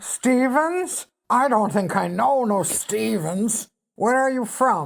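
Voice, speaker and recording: Putting on a character voice, a woman talks very slowly in a raspy, fairly high voice. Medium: read story. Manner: coarse, blunt, ungrammatical.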